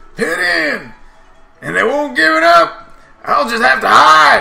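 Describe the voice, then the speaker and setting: A man with a high voice speaks at a fairly slow pace over background music, with an audible echo. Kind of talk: player reading game dialogue in a comic voice. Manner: mocking, boastful.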